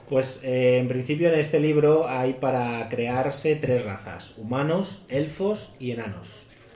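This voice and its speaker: A man at medium pitch talks at a very slow pace with hardly any pauses, over noticeable background noise. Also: ordinary pitch variation. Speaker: tabletop role-playing podcaster. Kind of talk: casual chat.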